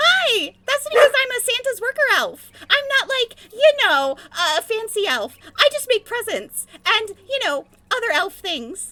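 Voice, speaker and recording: Someone puts on a squeaky character voice and talks at a fairly slow pace. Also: woman, extremely high pitch for a woman. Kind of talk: chatty, casual. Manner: cheerful, bubbly.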